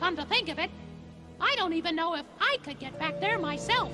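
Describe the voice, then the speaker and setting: A put-on character voice at a fairly quick pace, with clear music in the background. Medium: voice reel. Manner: bright, chirpy.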